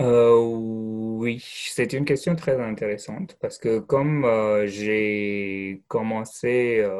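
With a medium pitch and ordinary pitch variation, this man talks very slowly. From India. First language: not French; schooled in English in India (speaking French). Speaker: French language teacher. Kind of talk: interview. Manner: hesitant, many fillers and repetitions.

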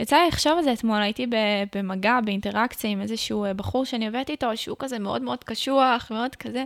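Very rapid speech from a woman, fairly high in pitch, with normal pitch movement. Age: 20s. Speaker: podcast host and content creator. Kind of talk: casual chat.

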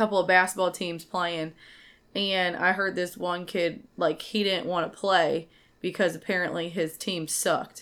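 On a very clean recording with a silent background, a woman with an American accent speaks at a fairly slow pace, her fairly low pitch held in monotone, flat intonation. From St. Louis, Missouri. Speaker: co-host, teacher, expectant mother.

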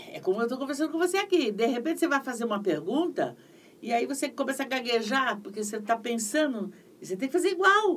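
This woman talks at a very fast pace in a high pitch. Her pitch swings very widely. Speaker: voice actress and dubbing director. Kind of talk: interview. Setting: livestream.

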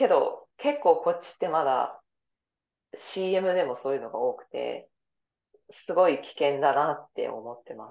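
Pausing long and often, a woman speaks at a fairly slow pace with big swings in loudness. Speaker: yoga instructor and dancer. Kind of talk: casual chat.

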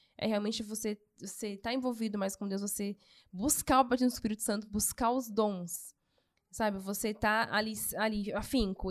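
In a plain, everyday voice, a woman pitched fairly high talks at a moderate pace with fairly even intonation, recorded very cleanly against a silent background. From São Paulo, Brazil. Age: 30s. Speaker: church youth volunteer. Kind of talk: casual chat, testimony.

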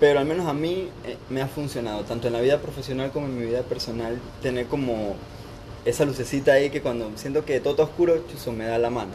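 This man speaks at a very fast pace with ordinary pitch variation. Noticeable background noise runs through the clip. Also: medium pitch for a man. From Panama (born in Costa Rica). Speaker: doctor training in internal medicine. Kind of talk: casual chat.

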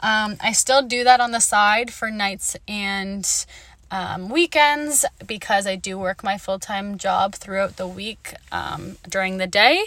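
Very slow delivery in a bright, sharp tone. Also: woman, medium pitch for a woman, ordinary pitch variation. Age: 20s. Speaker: podcast host. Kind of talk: casual monologue. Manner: animated.

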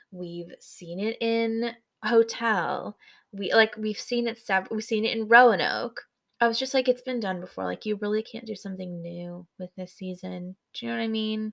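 In a very clean recording with a silent background, a woman with a US Midwestern accent speaks at a moderate pace, her fairly high voice fairly even in intonation but swinging widely in loudness. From US Midwest, Michigan. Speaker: podcast co-host. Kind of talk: casual chat.

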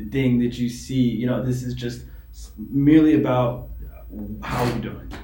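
Speaking at a moderate pace and medium pitch, a man with an American accent is heard with audible room echo. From New York City. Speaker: men's grooming entrepreneur. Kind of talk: casual chat.

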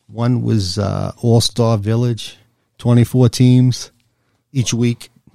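A man with a New York accent speaks very slowly in a flat monotone, his medium-pitched voice dark and mellow in tone. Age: 60s. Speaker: guest, father of co-guest. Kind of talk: casual chat.

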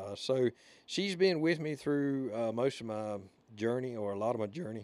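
Speaking at a moderate pace, the man has a Southern US accent. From Alabama. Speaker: podcast host. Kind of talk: casual chat. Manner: rambling, casual.

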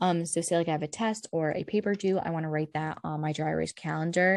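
Her speech races at a very fast pace in a fairly low pitch. The woman is recorded with a dry, close sound, no echo and a quiet background. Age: young. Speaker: podcast host. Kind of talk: casual chat. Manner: animated.

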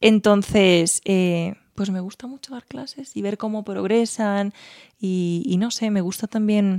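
A woman's medium-pitched voice with ordinary pitch variation, on a very clean recording with a silent background. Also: dry, close sound with no echo. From Spain, Teruel. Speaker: music teacher and singer. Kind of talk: casual interview.

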